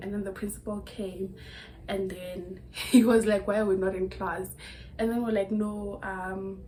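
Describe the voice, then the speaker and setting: At a fairly slow pace, a woman with a medium pitch speaks in a monotone, flat way while her loudness swings widely. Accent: South African. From Limpopo, South Africa. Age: 20s. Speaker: YouTuber. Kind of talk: casual talk to camera. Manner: chatty, storytelling.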